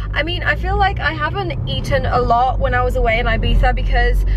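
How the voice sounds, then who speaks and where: Noticeable background noise runs through the recording. A woman talks over it. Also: dry sound with no echo. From Poland, raised in England. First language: Polish. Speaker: vlogger. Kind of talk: casual vlog talk to camera. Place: car. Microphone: phone near.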